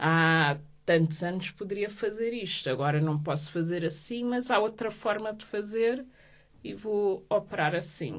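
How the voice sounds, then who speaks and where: A woman talks at a fairly slow pace. Her medium-pitched voice has lively intonation. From Portugal, Lisbon. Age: 30s. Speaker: activist, association president. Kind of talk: interview. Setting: studio. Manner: halting, many fillers.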